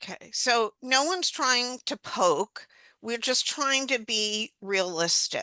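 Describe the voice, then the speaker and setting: Over a quiet background, a woman's bright, sharp voice swings very widely in pitch, recorded dry and close with no echo. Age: 70s. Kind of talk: panel discussion.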